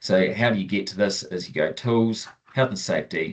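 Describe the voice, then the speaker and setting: Over a quiet background, a man with a Southern New Zealand accent speaks at a moderate pace. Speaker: farm software trainer. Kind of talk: webinar tutorial. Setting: online webinar. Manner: casual, many fillers. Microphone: video call.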